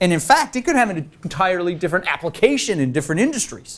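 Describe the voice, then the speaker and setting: A man speaks very fast with an American accent. His pitch swings very widely. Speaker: leadership speaker. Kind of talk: workshop Q&A. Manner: animated.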